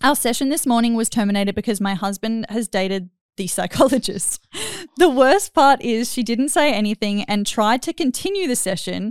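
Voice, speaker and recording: A woman with an Australian accent, fairly high-pitched and lively in intonation, at a moderate pace, in a dry, close sound with no echo. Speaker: podcast host. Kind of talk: casual chat. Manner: animated.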